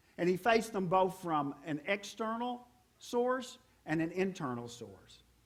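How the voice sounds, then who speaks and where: A man with a high voice talks at a fairly slow pace with lively intonation. Room echo is audible. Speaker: pastor. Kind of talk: sermon.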